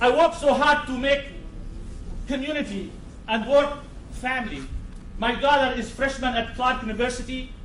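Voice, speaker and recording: Someone speaks loudly with a non-native accent and long, frequent pauses, over noticeable background noise with audible room echo. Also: man, extremely high pitch for a man, fairly even intonation, moderate pace. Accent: foreign. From Syria. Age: 50s. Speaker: psychiatrist speaking at public hearing. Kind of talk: public testimony. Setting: town board public meeting.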